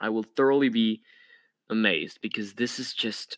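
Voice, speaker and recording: A man with a non-native accent speaks fairly slowly at medium pitch with ordinary pitch variation, his tone bright and sharp. The recording is very clean with a silent background and a dry, close sound with no echo. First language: not English. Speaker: podcast host. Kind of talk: casual chat. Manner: animated.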